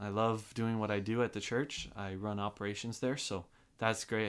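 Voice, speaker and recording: On a very clean recording with a silent background, a man speaks at a fairly quick pace. His fairly low voice has monotone, flat intonation. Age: 20s. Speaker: church operations worker. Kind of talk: casual chat. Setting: studio.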